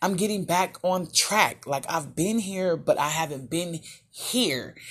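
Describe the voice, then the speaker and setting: A woman speaks at a moderate pace with ordinary pitch variation and a somewhat breathy quality. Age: 30s. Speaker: podcast host. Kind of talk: casual monologue. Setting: in a closet. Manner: casual, halting.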